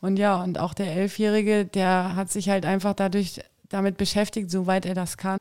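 At a moderate pace and medium pitch, a woman speaks with monotone, flat intonation in a very clean recording with a silent background. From Saxony-Anhalt, eastern Germany. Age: 40s. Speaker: party board member. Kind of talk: interview.

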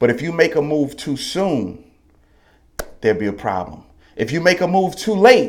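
Loud and animated, a man talks with very wide pitch swings. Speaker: podcast host. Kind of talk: motivational monologue. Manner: loud, emphatic.

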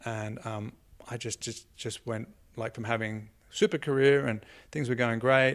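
With an Australian accent, a man speaks at a moderate pace and medium pitch, his intonation fairly even, in a very clean recording with a silent background. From Australia, Sydney. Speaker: comedian. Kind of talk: casual chat.

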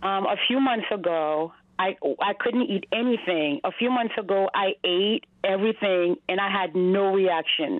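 A woman speaks in an unremarkable speaking voice with an American accent, at a fairly slow pace and medium pitch. Her pitch variation is ordinary and her loudness very even. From US Northeast, Massachusetts. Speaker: caller. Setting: phone call. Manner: excitable.

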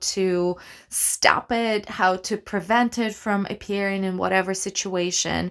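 In a very clean recording with a silent background, a woman speaks in an animated tone at a fairly slow pace. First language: not English. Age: 30s. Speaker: actor and podcast host. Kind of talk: solo monologue podcast. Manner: animated, rambling with fillers and laughs.

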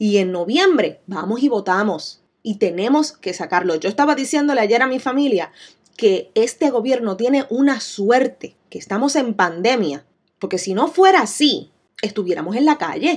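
An animated woman with a Puerto Rican accent talks at a moderate pace, her fairly high voice making very wide pitch swings. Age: 30s. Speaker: podcast host, business owner. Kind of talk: solo podcast monologue.

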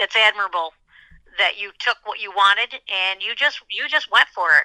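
A woman has an unremarkable speaking voice with fairly even intonation. She speaks at a fairly quick pace. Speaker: host's mother. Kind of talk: casual conversation.

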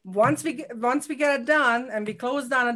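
A woman with a non-native accent talks at a fairly quick pace with ordinary pitch variation. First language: not English. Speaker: real estate regional owner. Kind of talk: interview. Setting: live video stream.

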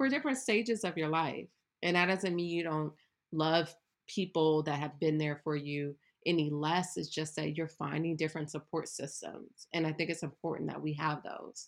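This woman has a very deep, low pitch and an American accent. The background is quiet. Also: ordinary pitch variation, moderate pace. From Ohio, US Midwest. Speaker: entrepreneur and yoga instructor. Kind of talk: interview. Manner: casual, many filler words.

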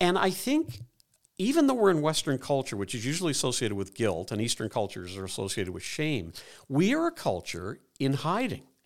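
A man speaks at a fairly quick pace in a medium pitch with vocal fry and very wide pitch swings. The recording is very clean, with a silent background. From Ireland (Dublin), raised in Canada. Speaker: psychologist and former pastor, author. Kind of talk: interview conversation.

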